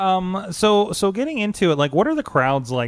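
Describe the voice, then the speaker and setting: A man with an unremarkable speaking voice talks at a moderate pace with lively intonation. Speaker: wrestling podcast host. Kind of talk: casual interview. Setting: studio, streamed live.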